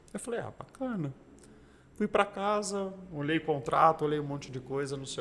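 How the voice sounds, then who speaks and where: A man talks in an ordinary speaking voice at a moderate pace. His intonation is lively. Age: 40s. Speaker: racing driver and entrepreneur. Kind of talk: casual interview chat.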